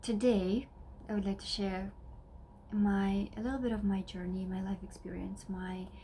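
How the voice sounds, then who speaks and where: A woman speaks in a Russian accent with a dark, mellow, somewhat breathy tone. Her medium pitch holds a monotone, flat intonation. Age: 30s. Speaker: wellness vlogger. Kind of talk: personal vlog talk. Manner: halting, many fillers.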